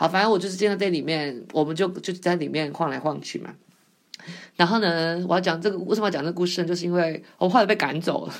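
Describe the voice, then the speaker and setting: This woman talks very fast in a fairly low voice, her pitch shifting in a normal way. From Taiwan. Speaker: podcast host. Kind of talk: casual monologue. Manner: hesitant, many fillers.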